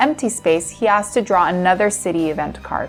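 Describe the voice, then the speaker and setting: Over music in the background, a woman with an American accent speaks at a moderate pace in a medium pitch with ordinary pitch variation. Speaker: voice-over narrator. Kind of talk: scripted narration.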